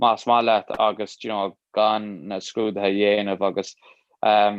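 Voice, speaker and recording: This is a man with an Irish accent. His pitch sits at a medium level. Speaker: Irish language teacher. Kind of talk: casual chat. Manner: mixes Irish and English, halting.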